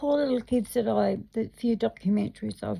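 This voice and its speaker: A woman is talking. Her pace is moderate. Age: 50s. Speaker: video blogger. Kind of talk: personal monologue. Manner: loud.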